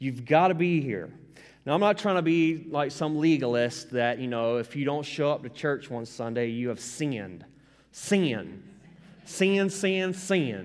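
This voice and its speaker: A man with a Southern US accent talks at a fairly slow pace in a fairly high pitch with lively intonation, and audible room echo surrounds his voice. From US South. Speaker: pastor. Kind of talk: sermon. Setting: church. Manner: casual.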